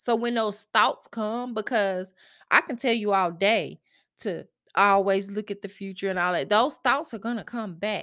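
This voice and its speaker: Speaking with a Southern US accent, a woman uses a bright, sharp tone at a moderate pace with ordinary pitch variation. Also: medium pitch for a woman, very clean recording, silent background. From US South, Mississippi. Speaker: self-help podcast host. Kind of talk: solo motivational monologue. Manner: halting, self-correcting.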